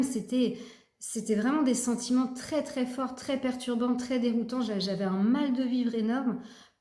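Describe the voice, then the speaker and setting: In a room with audible echo, a woman with a high, dark and mellow voice talks fairly slowly with fairly even intonation. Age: 40s. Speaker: personal development vlogger. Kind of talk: personal testimony. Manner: halting, many fillers and repetitions.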